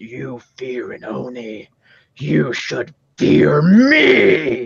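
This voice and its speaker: A man puts on a raspy character voice with a menacing tone. He speaks at a very slow pace. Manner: menacing, threatening.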